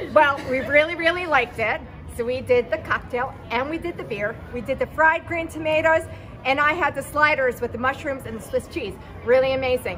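Clear music plays in the background as a raised, projected voice speaks at a fairly quick pace. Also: woman. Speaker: vlogger interviewer. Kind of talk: casual vlog interview. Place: street. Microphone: phone near.

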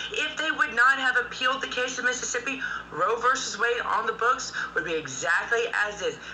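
A woman with an American accent speaks at a high pitch. Light background noise can be heard. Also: ordinary pitch variation. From United States. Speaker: political commentator. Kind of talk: heated debate. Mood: firm, argumentative. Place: home room. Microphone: video call.

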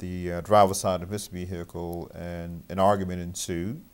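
This man has a very deep, low pitch. His intonation stays monotone and flat. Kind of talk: interview answer. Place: office.

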